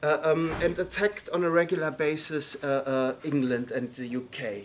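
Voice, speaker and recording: A man talks with ordinary pitch variation at a moderate pace, with light background noise behind him. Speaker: lecturer. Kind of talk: lecture. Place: classroom. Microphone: camera far.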